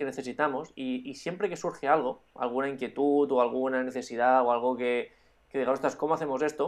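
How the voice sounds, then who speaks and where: An unremarkable speaking voice from a man, moderate in pace and fairly high in pitch. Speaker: drone podcast co-host and YouTuber. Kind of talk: casual chat.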